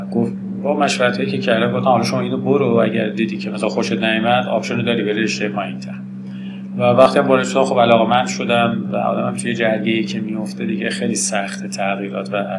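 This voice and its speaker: In a room with audible echo and noticeable background noise, a man with a fairly low pitch talks at a very fast pace, swinging his pitch very widely. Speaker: professor. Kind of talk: interview.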